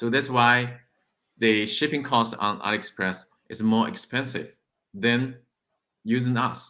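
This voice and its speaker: A man speaks with an American accent at medium pitch. His tone is bright and sharp, with ordinary pitch variation. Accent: American-sounding English. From China. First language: Chinese. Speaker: e-commerce sourcing business founder. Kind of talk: interview. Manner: halting.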